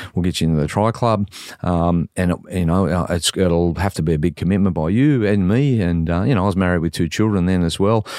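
A man with an Australian accent has a very deep, low pitch and a dark, mellow tone, talking at a fairly quick pace with ordinary pitch variation. The recording is very clean, with a silent background. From Sydney, Australia. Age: 60s. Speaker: former police officer and triathlete. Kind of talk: casual interview. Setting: studio.

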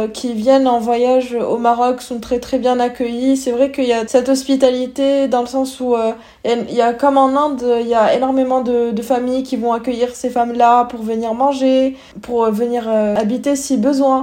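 A woman's high-pitched voice comes out in a monotone, flat intonation. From Morocco. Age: young. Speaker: student. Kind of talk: casual chat.

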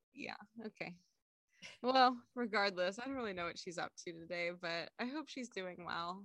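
With lively intonation, a woman speaks at a medium pitch in a plain, everyday voice. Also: moderate pace. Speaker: podcast co-host. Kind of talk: casual chat.

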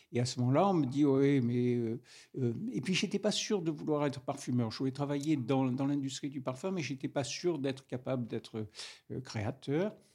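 This voice has a southern French accent and a dark, mellow tone, moving at a moderate pace with ordinary pitch variation against a quiet background. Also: man. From Grasse, southern France. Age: old. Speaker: master perfumer. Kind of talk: interview. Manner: halting, hesitant.

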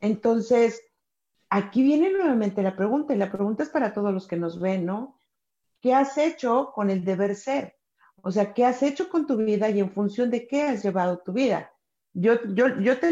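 Over a quiet background, a woman with a dark, mellow tone and fairly high pitch speaks at a moderate pace with lively intonation. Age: 40s. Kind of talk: casual chat.

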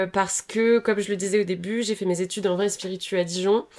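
With an ordinary speaking voice, a woman of medium pitch talks at a moderate pace with fairly even intonation. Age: 20s. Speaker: young entrepreneur, company co-founder. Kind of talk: casual interview.

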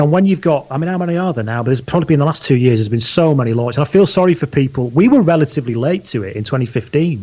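A man talks very fast with hardly any pauses, his dark, mellow tone somewhat breathy, his pitch fairly high and his intonation lively. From northern England (Leigh, Lancashire). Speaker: podcast host and rugby blogger. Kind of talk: casual chat.

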